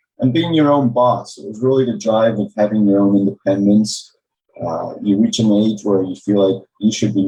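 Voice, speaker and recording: This man speaks with an American accent at a moderate pace. His voice sits fairly low in pitch and has a dark, mellow tone. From Maryland, US. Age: 50s. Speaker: accountant, tax advisor. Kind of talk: podcast interview.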